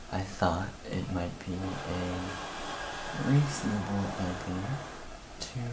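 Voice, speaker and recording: Soft-spoken and very slow, a man with a very deep, low pitch and ordinary pitch variation talks over noticeable background noise. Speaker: dungeon master. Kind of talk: casual talk to camera.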